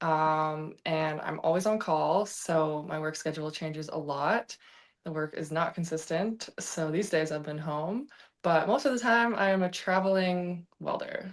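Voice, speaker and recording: A woman with a Canadian accent speaks in a normal speaking voice at a fairly low pitch and a fairly slow pace. Her pitch variation is ordinary, on a very clean recording with a silent background. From western Canada, Vancouver. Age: 20s. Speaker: welder. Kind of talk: interview.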